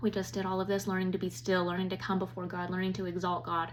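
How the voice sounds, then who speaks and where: A woman speaks at a fairly quick pace with medium pitch. Audible room echo is present. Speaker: women's Bible study teacher. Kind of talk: Bible lesson. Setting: recorded at home. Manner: fast.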